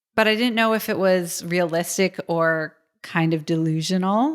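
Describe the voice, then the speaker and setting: With an American accent, a woman talks in a normal speaking voice, fairly low in pitch, at a moderate pace on a very clean recording with a silent background. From US East Coast, suburban Philadelphia. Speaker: futurist and game designer. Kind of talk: interview.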